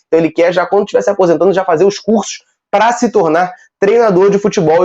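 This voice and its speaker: Speaking at a very fast pace, a man uses a dark, mellow tone. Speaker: football news youtuber. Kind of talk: casual news commentary.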